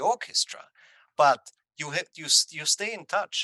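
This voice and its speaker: A man uses a raised, projected voice with a bright, sharp tone and lively intonation. He speaks at a fairly slow pace, in a dry, close sound with no echo. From Austria. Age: 60s. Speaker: composer. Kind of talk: interview. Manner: halting.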